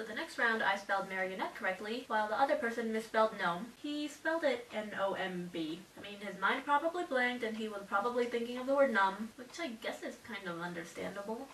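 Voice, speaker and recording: Light background noise and audible room echo accompany a woman's voice. She talks at a fairly quick pace, with big swings in loudness. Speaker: vlogger. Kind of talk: casual vlog storytelling. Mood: playful, slightly sheepish. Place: home room. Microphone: camera far.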